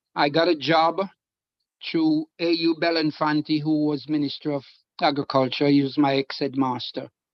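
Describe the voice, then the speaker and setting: Monotone, flat intonation at a moderate pace. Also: man, fairly high pitch for a man. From Jamaica, Trelawny parish. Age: 80s+. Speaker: guest, retired returnee from England. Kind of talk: personal testimony in online discussion.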